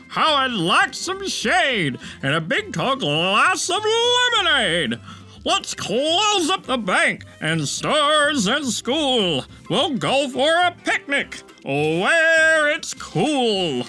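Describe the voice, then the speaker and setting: A high-pitched put-on character voice at a very slow pace, with clear music in the background. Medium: read story.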